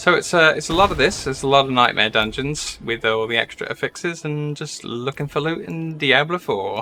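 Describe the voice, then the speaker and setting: Someone with an American accent talks at a moderate pace with ordinary pitch variation and hardly any pauses, over noticeable background noise. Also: man. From southeast England, near London (Essex). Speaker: gaming streamer. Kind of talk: live gameplay stream chat. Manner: casual, hesitant with fillers.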